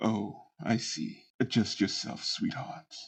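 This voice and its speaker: The man puts on a raspy character voice at a medium pitch. He talks at a fairly slow pace. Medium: actual play. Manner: smooth, gracious, condescending.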